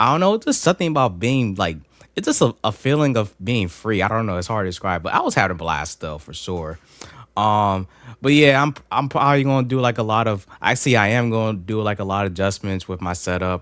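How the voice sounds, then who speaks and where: On a very clean recording with a silent background, a man speaks at a fairly quick pace. His fairly low pitch carries lively intonation. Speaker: e-bike vlogger. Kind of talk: casual vlog outro. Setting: studio. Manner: soft-spoken; casual, halting with fillers.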